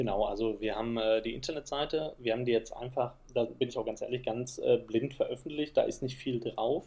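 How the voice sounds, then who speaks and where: At a moderate pace, this voice keeps fairly even intonation and has a dark, mellow tone. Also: man. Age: 30s. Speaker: project manager and nature association founder. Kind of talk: interview.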